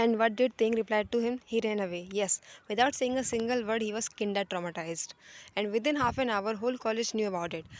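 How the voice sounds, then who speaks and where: This woman talks at a very fast pace with a fairly high pitch. Her pitch varies in an ordinary way, and the recording is very clean with a silent background. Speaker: fan fiction narrator. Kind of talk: read fan fiction story.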